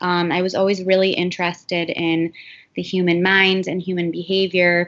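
An ordinary speaking voice at a moderate pace. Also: woman. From US Midwest, Cleveland, Ohio. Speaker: mental health counselor. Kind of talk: interview.

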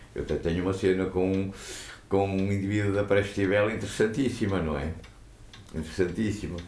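A man with a very deep, low pitch talks at a fairly quick pace, with audible room echo around him. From Portugal, Matosinhos (Leixões). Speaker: former pool caretaker. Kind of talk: interview storytelling.

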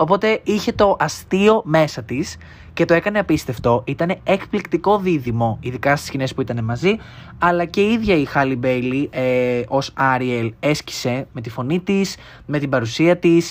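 A man speaks at a fairly high pitch with lively intonation. The recording is very clean, with a silent background. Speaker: podcaster. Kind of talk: casual monologue. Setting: home bedroom. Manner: fast.

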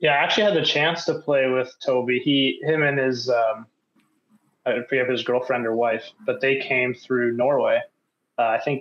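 With a Canadian accent, a man speaks in an ordinary speaking voice at medium pitch and a moderate pace, with ordinary pitch variation and very even loudness. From Canada. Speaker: podcast host. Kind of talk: casual interview.

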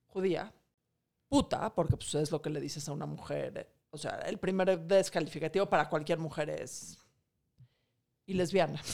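Her voice is fairly low and moves at a moderate pace with ordinary pitch variation and big swings in loudness, an unremarkable speaking voice from a woman. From Mexico. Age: 40s. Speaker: financial expert and author. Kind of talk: casual interview.

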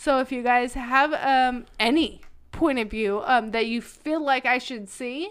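In a very clean recording with a silent background, a woman talks in a high pitch with lively intonation. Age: 30s. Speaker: podcast guest, host's partner. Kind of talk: casual chat. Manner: talkative.

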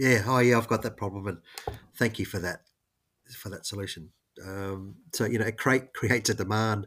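This very clean recording with a silent background features a man speaking in an Australian accent. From Queensland, Australia. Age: 50s. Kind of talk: interview conversation.

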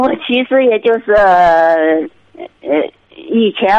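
A woman speaks with very wide swings in pitch. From Inner Mongolia, Hohhot. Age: 30s. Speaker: caller seeking marriage advice. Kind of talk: call-in advice conversation. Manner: hesitant, many fillers.

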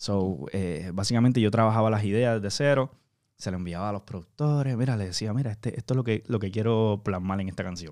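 A man's fairly low voice at a fairly quick pace, with ordinary pitch variation, on a very clean recording with a silent background. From Puerto Rico. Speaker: singer. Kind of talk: interview. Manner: halting, frequent word repetitions.

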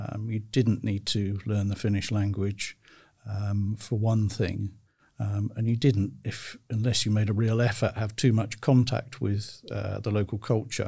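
On a very clean recording with a silent background, a man speaks fairly slowly in a dark, mellow, somewhat breathy tone, fairly low in pitch with fairly even intonation. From United Kingdom. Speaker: career advisor. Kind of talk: interview.

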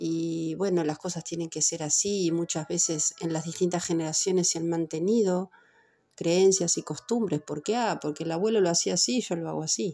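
A woman speaks with a Uruguayan accent at a moderate pace and with fairly even intonation. Her fairly low voice has a dark, mellow, warm tone. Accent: Rioplatense Spanish (Uruguayan). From Uruguay, Montevideo. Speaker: personal growth podcaster. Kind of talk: reflective monologue.

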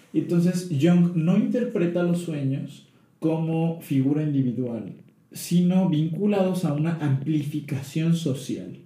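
Amid audible room echo, a man with a dark, mellow tone and a fairly high pitch speaks very slowly with ordinary pitch variation. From Tabasco, Mexico. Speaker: psychologist. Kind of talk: casual chat.

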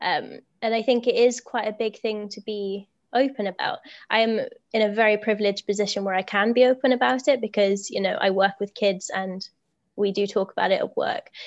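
Against a quiet background, a woman with a British accent speaks at a fairly quick pace and fairly high pitch with ordinary pitch variation. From Britain. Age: 20s. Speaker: teacher. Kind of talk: casual chat. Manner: energetic.

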